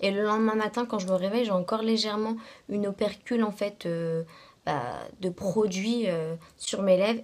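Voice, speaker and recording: A woman with a medium pitch and ordinary pitch variation speaks at a moderate pace. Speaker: beauty vlogger. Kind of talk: casual product review vlog. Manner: hesitant, many fillers.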